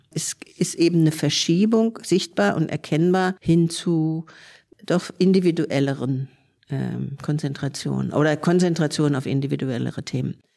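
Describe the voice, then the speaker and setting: A woman speaks in a very deep, low voice with a dark, mellow tone and ordinary pitch variation. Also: moderate pace. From Germany, Frankfurt am Main. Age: 70s. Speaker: sociologist and self-help movement veteran. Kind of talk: interview.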